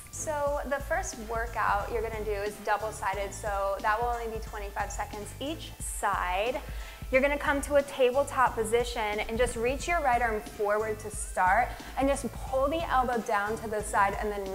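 Faint music plays behind a woman speaking at a moderate pace. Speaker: fitness instructor. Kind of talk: tutorial. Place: empty room. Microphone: lapel.

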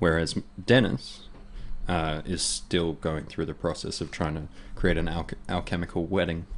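A man speaks at a fairly slow pace in a very deep, low voice. Light background noise is present. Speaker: guest. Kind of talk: casual chat. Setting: studio. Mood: thoughtful, reflective. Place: studio. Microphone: studio mic.

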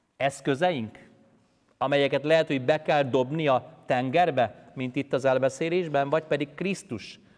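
A man talks in an ordinary speaking voice, fairly high in pitch, at a fairly slow pace with fairly even intonation. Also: quiet background. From Hungary, Pest county; Hungary. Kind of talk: sermon. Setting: church. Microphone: lapel.

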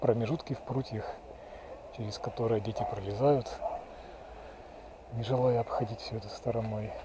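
Noticeable background noise accompanies a man talking at a moderate pace in a dry sound with no echo. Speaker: local walking guide. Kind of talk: casual walking commentary. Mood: nostalgic, calm. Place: street. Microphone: phone near.

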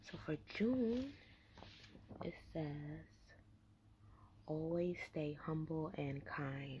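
Very slow and somewhat breathy, a woman speaks with a very deep, low pitch and a dark, mellow tone, leaving long, frequent pauses over light background noise. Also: lively intonation. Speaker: vlogger. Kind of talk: casual talk to camera. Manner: whispered, soft. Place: home room. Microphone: webcam.

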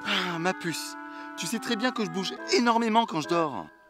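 A man at a moderate pace, dry with no echo, clear music in the background. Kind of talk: comedy sketch acting. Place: forest.

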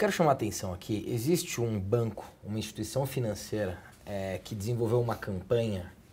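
A man's somewhat breathy voice at a moderate pace, showing ordinary pitch variation. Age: 30s. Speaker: TV talk show host. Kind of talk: interview. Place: office. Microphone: lapel.

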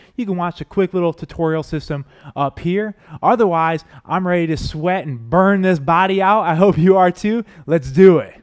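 A man at a moderate pace with a high pitch, over a quiet background. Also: ordinary pitch variation. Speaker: fitness trainer. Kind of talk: workout instruction intro. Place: studio. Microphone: headset.

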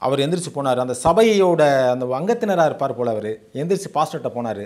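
Against a quiet background, a man with an unremarkable speaking voice uses fairly high pitch and lively intonation. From Tamil Nadu, Sivaganga district; Tamil Nadu. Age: 50s. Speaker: former astrologer. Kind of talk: testimony. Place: home room. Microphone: lapel.

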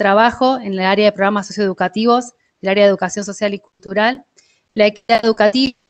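A woman talks at a fairly quick pace with fairly even intonation. The background is quiet. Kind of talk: presentation in online meeting. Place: home room. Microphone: video call.

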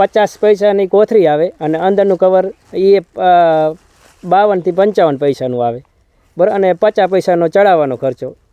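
Pitched high for a man, his voice shows ordinary pitch variation. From Saurashtra, Gujarat (Morbi district). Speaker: guava farmer. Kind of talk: field interview. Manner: halting.

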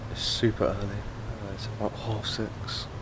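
Loud background noise surrounds a man as he speaks. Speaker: travel vlogger. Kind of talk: casual vlog chat. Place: street. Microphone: phone near.

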